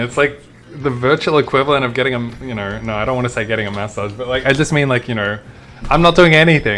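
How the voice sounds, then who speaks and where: A man with a strong Australian accent talks at a fairly quick pace with lively intonation. Noticeable background noise sits behind him. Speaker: video game streamer. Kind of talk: live gameplay commentary. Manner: casual, animated.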